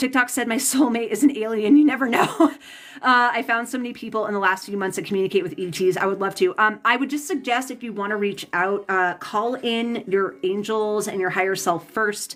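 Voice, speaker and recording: The speech runs at a fairly quick pace with hardly any pauses and ordinary pitch variation. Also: woman, fairly high pitch for a woman. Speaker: tarot reader and psychic. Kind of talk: live stream chat with viewers. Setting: live stream. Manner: fast.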